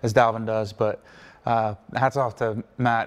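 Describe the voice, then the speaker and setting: A man with an American accent and a monotone, flat intonation. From US Mid-Atlantic, Wilmington, Delaware. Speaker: pro football player. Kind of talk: casual interview chat.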